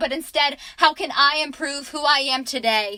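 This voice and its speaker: A woman's high-pitched, raised and projected voice, with ordinary pitch variation and a moderate pace. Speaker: student, aspiring teacher. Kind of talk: spoken word poetry.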